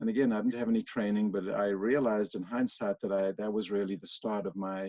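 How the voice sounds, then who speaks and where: With a South African accent, a man speaks at a fairly low pitch. He talks at a fairly quick pace with fairly even intonation. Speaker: workplace mediator. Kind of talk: interview.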